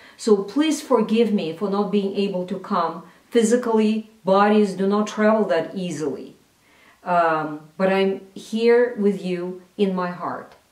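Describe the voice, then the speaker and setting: Recorded with audible room echo, a woman talks at a fairly slow pace in a medium pitch with ordinary pitch variation. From Russia. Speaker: cultural analyst. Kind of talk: recorded address.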